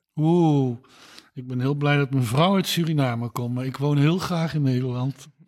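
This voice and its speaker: A man's unremarkable speaking voice, fairly high in pitch, with fairly even intonation at a moderate pace. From Netherlands, Eindhoven (Brabant). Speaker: gynaecologist, professor. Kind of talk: interview. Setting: at home.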